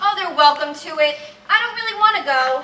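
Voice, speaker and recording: Putting on a squeaky character voice, a woman speaks at an extremely high pitch and a fairly quick pace, with lively intonation and big swings in loudness. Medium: short film. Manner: gentle, proper.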